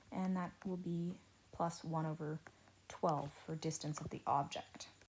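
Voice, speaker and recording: A woman's somewhat breathy, fairly low voice, fairly slow and monotone with flat intonation. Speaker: teacher. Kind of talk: lecture. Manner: slow, deliberate.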